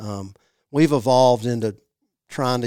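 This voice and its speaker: A man with a Mississippi accent and a dark, mellow tone, at a fairly slow pace, on a very clean recording with a silent background. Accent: US Southern (Mississippi). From Mississippi (Jackson). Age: 40s. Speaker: native plant nursery manager. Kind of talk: casual interview. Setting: studio.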